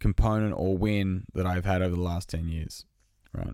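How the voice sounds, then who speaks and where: A man with an Australian accent at a moderate pace, fairly even intonation, and a very clean recording against a silent background. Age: 30s. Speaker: podcast host and fitness business owner. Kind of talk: solo podcast monologue. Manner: casual with many fillers.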